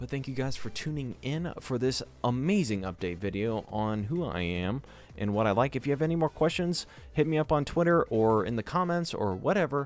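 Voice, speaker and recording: With music in the background, a man at medium pitch speaks in very wide pitch swings. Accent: American. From US South, Georgia. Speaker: gaming youtuber. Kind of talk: casual vlog talk. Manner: fast; animated.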